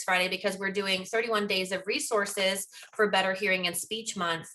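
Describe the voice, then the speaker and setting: The speaker has an American accent and ordinary pitch variation. Noticeable background noise is present. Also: woman. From Pennsylvania, US. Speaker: speech-language pathology researcher. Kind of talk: lecture. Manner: fast.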